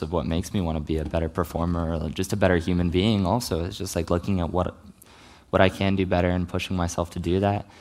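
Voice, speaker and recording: Very fast and fairly even in intonation, a man with an American accent speaks in a very deep, low voice. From US South. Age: 20s. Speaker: actor. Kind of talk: talk to live audience, Q&A. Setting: stage with audience.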